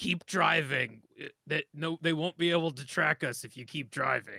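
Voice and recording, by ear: A man puts on a gruff character voice, fairly high in pitch, at a moderate pace.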